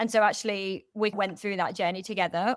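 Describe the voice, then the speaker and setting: Her pitch sits in the medium range as a woman talks at a fairly quick pace. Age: 20s. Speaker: prison rehabilitation worker, former PhD researcher. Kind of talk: interview answer. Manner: casual, hesitant.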